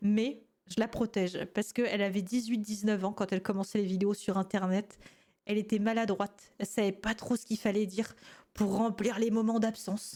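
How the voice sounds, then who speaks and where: A woman with a dark, mellow tone speaks at a moderate pace in a monotone, flat delivery. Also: medium pitch for a woman. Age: 20s. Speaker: gaming youtuber reacting to old videos. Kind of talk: casual reaction commentary. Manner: calmer, more composed voice than before.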